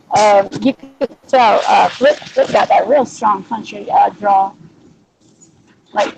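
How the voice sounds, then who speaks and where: A woman with a Southern US accent at a fairly slow pace. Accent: mild southern US. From Louisiana, US South. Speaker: livestream host. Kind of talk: casual chat.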